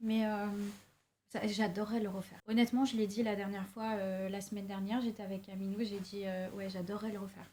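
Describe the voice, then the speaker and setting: A woman's medium-pitched, somewhat breathy voice with a dark, mellow tone, monotone, flat intonation and a fairly quick pace. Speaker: singer and songwriter. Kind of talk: casual interview chat.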